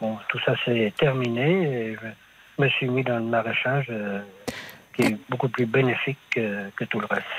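Noticeable background noise fills the recording. The talking keeps a fairly slow pace. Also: man, medium pitch for a man, fairly even intonation. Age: 50s. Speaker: market gardener. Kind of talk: phone-in testimony. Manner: halting.

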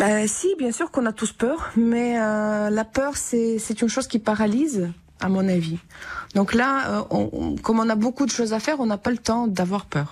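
A woman speaks with a Ukrainian accent at a fairly high pitch with ordinary pitch variation. Her loudness stays very even, and the recording is very clean with a silent background. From Ukraine, Vinnytsia. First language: Ukrainian (speaking French). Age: 30s. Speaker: musician and French teacher, war refugee. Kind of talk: radio interview. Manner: halting, with many hesitations.

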